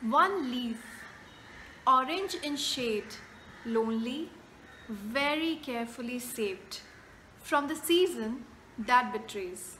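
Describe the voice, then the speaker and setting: A woman's high-pitched voice at a very slow pace, with lively intonation, long, frequent pauses and light background noise. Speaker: poet. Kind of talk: poetry reading. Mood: gentle, reflective. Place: home room. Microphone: phone near.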